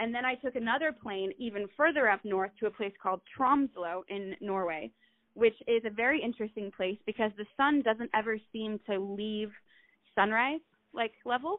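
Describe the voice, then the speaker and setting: With ordinary pitch variation, an unremarkable speaking voice talks at a moderate pace. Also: woman, fairly high pitch for a woman. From Utah. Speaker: artist, model and actress. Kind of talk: casual interview chat.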